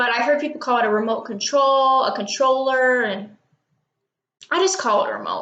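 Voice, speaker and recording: In a raised, projected voice, a woman with an American accent speaks at a high pitch with ordinary pitch variation. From Texas. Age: young. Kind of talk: casual talk to camera.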